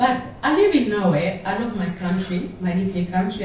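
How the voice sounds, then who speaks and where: The woman speaks with a French accent. Audible room echo and noticeable background noise surround her voice. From Democratic Republic of the Congo. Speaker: audience member asking a question. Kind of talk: audience question at panel. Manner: halting.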